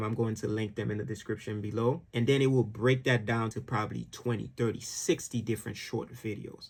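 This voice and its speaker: A somewhat breathy man talks at a fairly quick pace with hardly any pauses. His pitch is medium and his intonation fairly even. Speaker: video editor and YouTube educator. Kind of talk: tutorial. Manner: casual, conversational.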